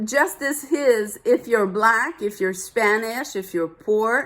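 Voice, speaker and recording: A woman with a French accent, fairly high-pitched, lively in intonation and very slow, on a very clean recording with a silent background. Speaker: vlogger. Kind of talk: personal rant to camera. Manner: animated.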